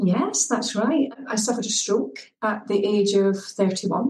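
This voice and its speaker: Here a woman speaks with a Scottish accent at a moderate pace. Her pitch is medium. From Scotland, Edinburgh. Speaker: well-being coach. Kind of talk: podcast interview.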